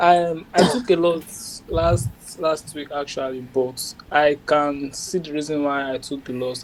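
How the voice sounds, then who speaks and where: Man at a fairly slow pace, fairly high pitch, ordinary pitch variation and big swings in loudness, amid noticeable background noise. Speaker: trader. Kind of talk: casual chat. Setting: video call.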